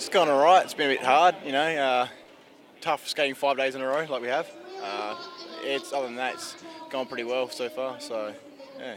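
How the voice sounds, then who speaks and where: Pausing long and often, a man with an Australian accent talks at a moderate pace and a fairly high pitch, his loudness swinging widely over noticeable background noise. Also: ordinary pitch variation. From South Australia. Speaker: athlete, speed skater. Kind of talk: casual interview. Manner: brief, laid-back answers.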